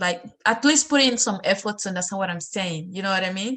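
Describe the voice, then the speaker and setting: In a strong Sierra Leonean accent, a woman talks with ordinary pitch variation. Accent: heavy Sierra Leonean. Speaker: student discussion host. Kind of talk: casual discussion.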